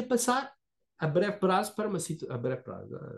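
Against a quiet background, a high-pitched man speaks with a European Portuguese accent and ordinary pitch variation. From Portugal. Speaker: moderator for anti-corruption nonprofit. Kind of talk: online seminar discussion. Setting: video call. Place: home room. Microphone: video call.

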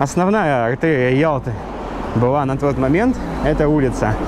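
A man talks at a moderate pace while noticeable background noise plays beneath him. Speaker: local guide, vlogger. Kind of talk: walking tour commentary. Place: street. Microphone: phone near.

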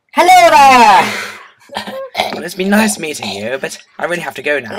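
At a moderate pace, the speaker puts on a character voice at a middle pitch. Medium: fan dub.

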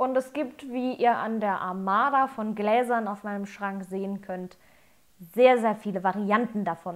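Against a quiet background, she speaks at a fairly slow pace. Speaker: whisky reviewer. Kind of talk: tutorial. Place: home room.

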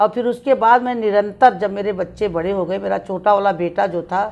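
A woman speaks at a moderate pace. Her pitch variation is ordinary. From eastern Uttar Pradesh, India (Jaunpur); Uttar Pradesh, India. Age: 60s. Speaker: city mayor, politician. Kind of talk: interview. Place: home room.

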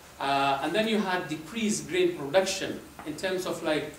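Light background noise and audible room echo accompany a man talking at a moderate pace. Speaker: presenter. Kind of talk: lecture. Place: hall.

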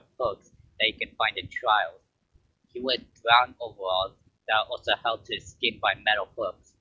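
This is plain reading aloud against a quiet background.

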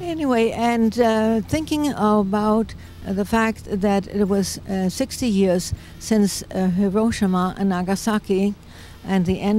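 A woman's very slow speech with a dark, mellow tone, a German accent, ordinary pitch variation and a dry sound with no echo. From Germany. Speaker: peace activist. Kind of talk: interview; interview answer. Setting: outdoors. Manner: hesitant, many fillers. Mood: warm, reflective. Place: open country. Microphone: handheld.

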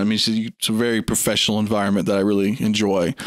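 With a slight Southern US accent, a man speaks in a fairly low pitch, his sound dry and close with no echo. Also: very clean recording, silent background. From US South, Sumter, South Carolina. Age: 20s. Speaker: 3D artist. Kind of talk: casual interview chat.

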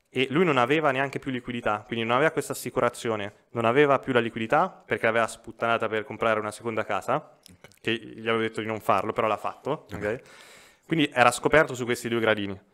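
The man speaks with an Umbrian accent in a bright, sharp tone at a very fast pace. His pitch varies in an ordinary way against a quiet background. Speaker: financial advisor; podcast guest. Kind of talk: casual chat. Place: studio. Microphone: studio mic.

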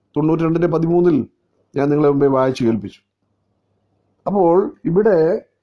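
The pitch moves with ordinary variation. Loudness stays very even throughout. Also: man, fairly high pitch for a man. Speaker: evangelist giving daily devotion. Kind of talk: sermon. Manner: halting, phrase-by-phrase delivery.

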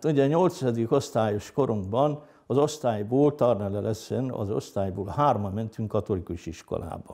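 A man's dark, mellow voice at medium pitch, lively in intonation, moderate in pace with hardly any pauses, over a quiet background. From northern Hungary, Heves county; Hungary. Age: 60s. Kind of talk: interview testimony; interview answer. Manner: hesitant, with many fillers. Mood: calm, reflective. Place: home room. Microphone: lapel.

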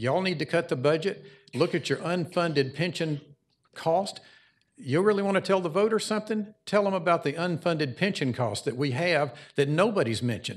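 Speaking at a fairly quick pace, a man uses lively intonation in a high pitch. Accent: Southern US. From US South, Cobb County, Georgia. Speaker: small business owner speaking as resident. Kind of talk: public hearing comment.

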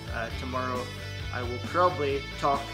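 Clear music plays behind a man who speaks at a fairly slow pace. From outside Aberdeen, Scotland. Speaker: vlogger. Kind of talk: casual talk to camera. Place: home room. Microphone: phone near.

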